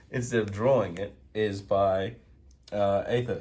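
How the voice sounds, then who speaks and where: Somewhat breathy, the voice moves through ordinary pitch variation. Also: man. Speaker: card game content creator. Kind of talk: casual card game deck profile talk.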